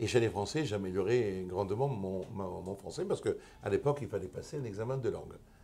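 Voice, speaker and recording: Somewhat breathy and dark, mellow in tone, the speaker talks at a fairly quick pace in an Italian accent, with ordinary pitch variation and hardly any pauses. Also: man, fairly low pitch for a man. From Italy. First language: Italian (speaking French). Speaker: lawyer. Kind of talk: interview. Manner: halting.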